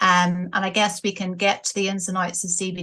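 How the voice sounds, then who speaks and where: A woman speaks with a Northern Irish accent. Her tone is bright and sharp. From Northern Ireland, Coleraine. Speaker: business owner. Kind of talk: interview.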